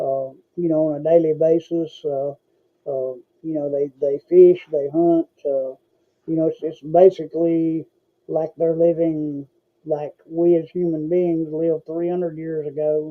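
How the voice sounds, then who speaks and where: Fairly slow and monotone, a man talks with an Appalachian accent. His intonation stays flat, his pitch fairly high. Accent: Southern US (Appalachian). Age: 60s. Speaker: podcast host. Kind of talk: casual chat. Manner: halting, many fillers and repetitions.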